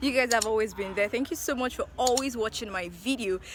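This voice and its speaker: A woman's raised, projected voice over noticeable background noise. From Nigeria, Ilorin, Kwara State. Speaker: travel vlogger. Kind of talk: vlog narration and voiceover. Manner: fast. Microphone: poor audio output.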